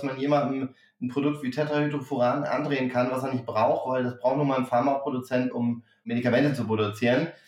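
Over noticeable background noise, a man speaks very fast with hardly any pauses, a fairly high pitch and fairly even intonation. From northern Germany, Hamburg. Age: 40s. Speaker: startup founder. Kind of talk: interview.

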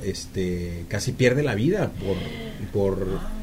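A man with a fairly low pitch speaks at a very slow pace. Noticeable background noise and audible room echo are present. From Mexico, Jalisco (Ameca). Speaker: radio announcer and singer. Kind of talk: interview. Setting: studio.

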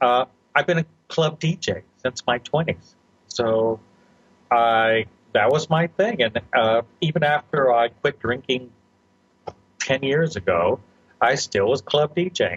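Speaking at a very slow pace with long, frequent pauses, the man has a fairly high pitch, a somewhat breathy voice, very even loudness and ordinary pitch variation, in a dry, close sound with no echo. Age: 50s. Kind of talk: interview.

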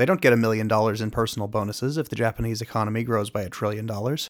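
The recording is very clean and the background silent. A man speaks at a very fast pace. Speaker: podcast host reading a book aloud. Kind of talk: podcast announcement then audiobook-style reading.

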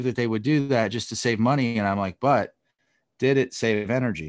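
A man with a plain, everyday voice talks at a moderate pace, his pitch moving in an ordinary way, against a quiet background. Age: 30s. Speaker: business executive and sustainability advocate. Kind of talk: interview.

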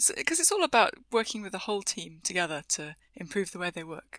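A woman speaks at a medium pitch in a bright, sharp tone. Her intonation is lively and her pace fairly quick. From UK. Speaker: technical agile coach and author. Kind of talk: podcast interview.

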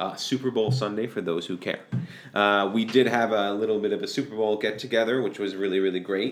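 A man's fairly low, fairly quick voice with fairly even intonation, an ordinary speaking voice. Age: 30s. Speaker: podcast co-host. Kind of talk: casual chat.

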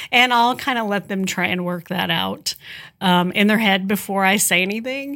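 On a very clean recording with a silent background, a woman with an ordinary speaking voice talks at a moderate pace, at medium pitch with ordinary pitch variation. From southern Indiana (tri-state area). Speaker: nonprofit executive, former TV news personality. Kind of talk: interview.

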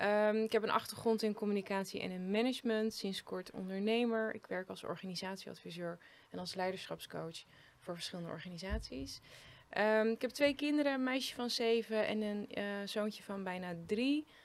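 This is a normal speaking voice. It moves at a moderate pace with ordinary pitch variation. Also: woman, medium pitch for a woman. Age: 30s. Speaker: leadership coach. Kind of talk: casual chat. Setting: living room.

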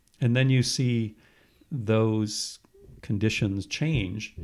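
Speaking with an American accent, an ordinary speaking voice shows ordinary pitch variation. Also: man. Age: 60s. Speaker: retired professor. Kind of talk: interview.

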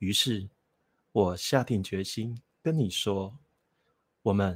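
A man's fairly low, somewhat breathy voice at a very slow pace. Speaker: bookstore owner and dating commentator. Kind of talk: casual chat.

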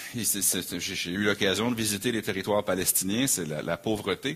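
A man talks at a very slow pace. His pitch is very deep and low, with ordinary variation. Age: 40s. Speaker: pastor. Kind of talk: sermon.

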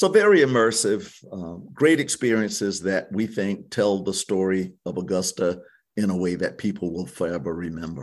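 A man with a South Carolina accent, at a moderate pace with ordinary pitch variation, over a quiet background. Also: fairly low pitch for a man. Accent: South Carolina Southern. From US South, Hampton County, South Carolina. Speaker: tourism bureau executive. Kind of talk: interview.

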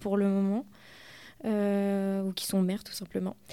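Very slowly, the speaker talks in a dark, mellow tone. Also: woman. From Normandy, rural France. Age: 20s. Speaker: nurse, feminist collective activist. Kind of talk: radio interview.

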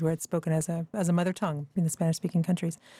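A woman with a fairly low pitch and a dark, mellow tone speaks very fast, somewhat breathy and with monotone, flat intonation, in a dry, close sound with no echo. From Canada. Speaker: author. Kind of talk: interview. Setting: studio.

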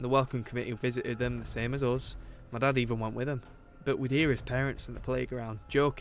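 This is someone reading aloud in a natural voice. The intonation stays fairly even.

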